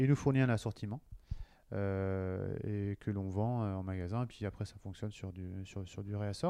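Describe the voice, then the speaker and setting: Fairly slow, fairly even intonation from a man with a fairly low pitch. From western France, Cholet (Maine-et-Loire). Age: 40s. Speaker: marketing director. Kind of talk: interview. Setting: company office. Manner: halting, many fillers and repetitions.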